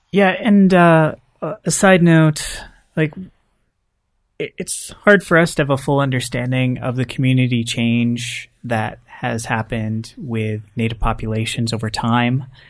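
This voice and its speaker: Here is a man with a plain, everyday voice at medium pitch. He talks at a fairly slow pace with lively intonation. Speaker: podcast host. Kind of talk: casual chat.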